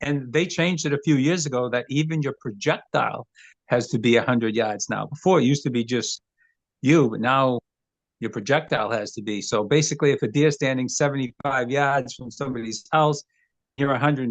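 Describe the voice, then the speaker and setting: Speaking at a fairly quick pace, a man with an American accent has a plain, everyday voice, medium pitch and ordinary pitch variation. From Maine, US. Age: 60s. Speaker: hunter and former taxidermist. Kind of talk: casual interview.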